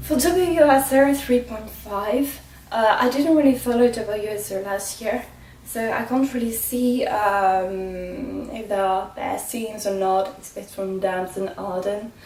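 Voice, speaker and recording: A woman's fairly high voice with a non-native accent, fairly slow pace and big swings in loudness, amid audible room echo and noticeable background noise. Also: ordinary pitch variation. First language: not English. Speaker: motorsport vlogger. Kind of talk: casual vlog commentary. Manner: halting, many fillers.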